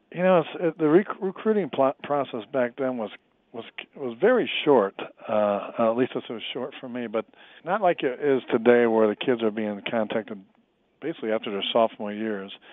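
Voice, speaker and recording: A man with an ordinary speaking voice talks at medium pitch and a moderate pace, his intonation lively. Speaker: former pro football player. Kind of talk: interview.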